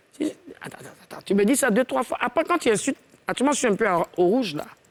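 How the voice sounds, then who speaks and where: Animated and high-pitched, a woman speaks at a fairly quick pace with very wide pitch swings. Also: long, frequent pauses, big swings in loudness. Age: 50s. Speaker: singer. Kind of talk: casual chat.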